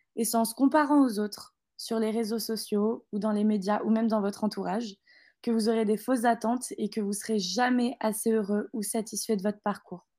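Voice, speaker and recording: Fairly high in pitch, a woman speaks with a dark, mellow tone. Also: fairly even intonation, moderate pace. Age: 20s. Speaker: business school graduate. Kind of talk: interview.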